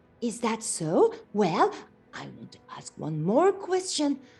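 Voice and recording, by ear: A text read aloud in a natural voice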